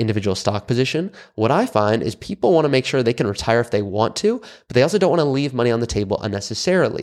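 Over a quiet background, a man with an American accent talks very fast at a medium pitch, with lively intonation and hardly any pauses. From California. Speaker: financial advisor. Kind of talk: solo podcast monologue.

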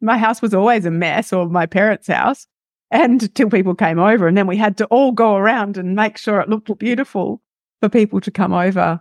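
An Australian accent with ordinary pitch variation, dry and close with no echo, over a quiet background. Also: woman, medium pitch for a woman, fairly quick pace. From Western Australia. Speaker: lifestyle coach. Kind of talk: interview.

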